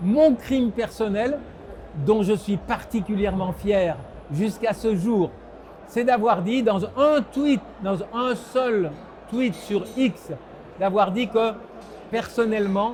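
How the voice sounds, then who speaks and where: A man speaks at a very slow pace in a high pitch with ordinary pitch variation, long, frequent pauses and noticeable background noise. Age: 70s. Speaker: political scientist. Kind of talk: interview.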